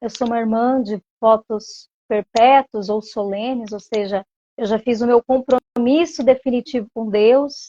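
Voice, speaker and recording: A woman speaks at a fairly slow pace in a fairly high voice with a dark, mellow tone and fairly even intonation, recorded with a dry, close sound and no echo. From Brazil, Cuiabá (Mato Grosso). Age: 30s. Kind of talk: interview.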